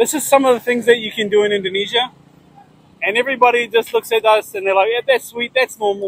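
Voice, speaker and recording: The speaker moves at a fairly quick pace with a New Zealand accent. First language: Maori. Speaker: food content creator. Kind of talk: casual interview. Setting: outdoors at busy street intersection.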